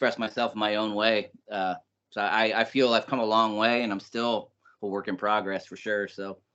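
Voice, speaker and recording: Here is a man with an American accent. He speaks at a medium pitch. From US Midwest, Indiana. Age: 40s. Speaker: rapper. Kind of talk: interview.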